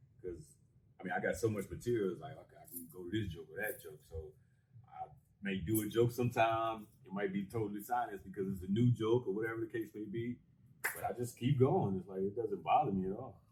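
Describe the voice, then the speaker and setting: A man with an American accent speaks at a very fast pace in a somewhat breathy voice. His pitch varies in an ordinary way, with big swings in loudness. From Las Vegas, Nevada. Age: 40s. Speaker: stand-up comedian. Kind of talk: casual interview chat. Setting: on a cruise ship.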